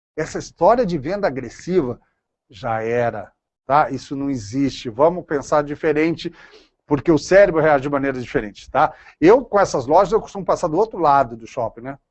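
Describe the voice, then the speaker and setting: A man's animated voice, fairly high in pitch, at a moderate pace, with lively intonation and big swings in loudness. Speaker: lecturer on consumer neuroscience. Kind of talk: lecture.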